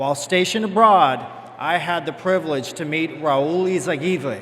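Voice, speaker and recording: The speaker moves at a fairly quick pace with ordinary pitch variation, with audible room echo and noticeable background noise. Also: man. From Cuba. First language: Spanish. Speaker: bank executive. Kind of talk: formal speech. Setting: stage with audience.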